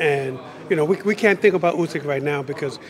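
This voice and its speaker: Against noticeable background noise, a man with an American accent and a fairly high pitch talks at a fairly quick pace. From United States. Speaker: boxing trainer. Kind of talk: interview. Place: hall. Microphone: handheld.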